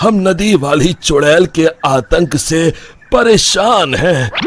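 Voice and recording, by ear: A man performs a cartoonish character voice at a slow pace with lively intonation. It has a slightly husky edge. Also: fairly high pitch for a man.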